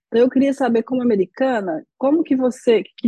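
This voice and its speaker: The sound is dry and close, with no echo. A woman speaks at a moderate pace in a somewhat breathy voice with a dark, mellow tone. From Brazil. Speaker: podcast host, Portuguese teacher. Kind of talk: interview.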